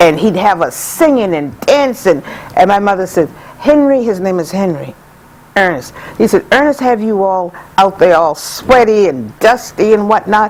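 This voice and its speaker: Noticeable background noise sits behind a woman speaking at a moderate pace with lively intonation. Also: medium pitch for a woman. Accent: American. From US South, Georgetown, South Carolina. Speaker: community elder. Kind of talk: interview storytelling.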